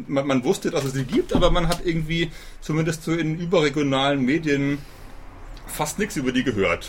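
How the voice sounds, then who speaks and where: Noticeable background noise accompanies a man talking at a moderate pace with a fairly high pitch and ordinary pitch variation. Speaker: podcast host. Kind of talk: interview. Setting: outdoors on a balcony.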